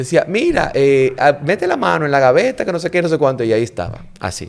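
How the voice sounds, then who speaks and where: Speaking with a Dominican accent, this voice has an animated tone and pitch that swings very widely. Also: man, fairly high pitch for a man, fairly quick pace. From Dominican Republic (La Vega). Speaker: diplomat and actor. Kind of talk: casual interview chat.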